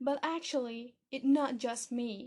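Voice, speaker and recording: A high-pitched woman with a non-native accent at a very slow pace. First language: not English. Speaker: podcast host, English learning. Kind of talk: podcast monologue. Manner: animated.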